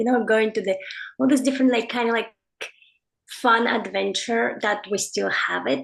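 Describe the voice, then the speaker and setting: This woman speaks at a medium pitch with vocal fry. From Mongolia. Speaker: artist and author. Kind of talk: interview. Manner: halting, many fillers.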